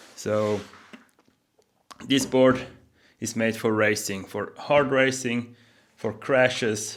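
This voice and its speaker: Speaking with a non-native accent, a man uses a medium pitch and fairly even intonation at a very slow pace, with long, frequent pauses. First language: not English. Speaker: board builder and YouTuber. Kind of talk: tutorial. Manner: hesitant, many fillers.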